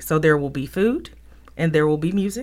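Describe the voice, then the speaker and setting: A woman speaks with a Southern US accent at a fairly low pitch. Her intonation is lively. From Mississippi, Jackson. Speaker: cultural center director. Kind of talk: interview. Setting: radio studio.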